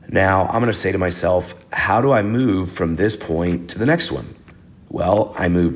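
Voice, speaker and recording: Audible room echo surrounds a man with a very deep, low pitch. He speaks at a fairly slow pace with ordinary pitch variation. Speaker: math teacher. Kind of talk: recorded lesson video. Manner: casual.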